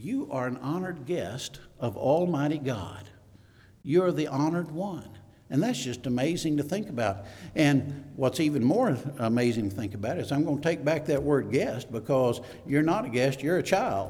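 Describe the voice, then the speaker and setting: A man with a Southern US accent, fairly high in pitch with a dark, mellow tone, lively intonation at a moderate pace, and audible room echo. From US South, Mississippi. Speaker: elder, preacher. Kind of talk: sermon. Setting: church. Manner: halting, many fillers.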